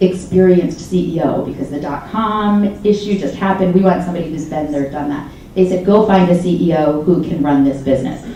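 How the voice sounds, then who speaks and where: Amid audible room echo and noticeable background noise, a woman with a fairly low pitch talks in an animated tone at a fairly quick pace, with ordinary pitch variation and hardly any pauses. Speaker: startup founder. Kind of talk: fireside chat interview. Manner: fast.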